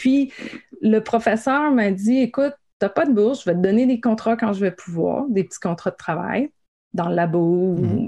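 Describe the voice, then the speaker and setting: This woman has an unremarkable speaking voice with a fairly high pitch. Her intonation is lively. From Quebec, Gaspésie. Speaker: science communicator. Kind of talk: interview.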